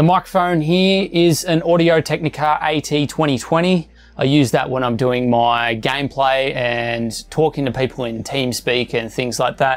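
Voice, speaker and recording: Over faint music in the background, a man talks at a fairly slow pace with ordinary pitch variation. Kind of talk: setup tour commentary. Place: home room.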